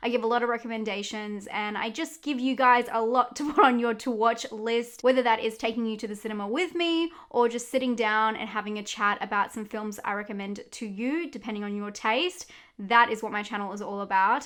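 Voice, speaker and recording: A woman speaks with an Australian accent at a fairly quick pace. She hardly pauses at all. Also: fairly high pitch for a woman, ordinary pitch variation. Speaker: horror YouTuber. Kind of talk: movie recommendations.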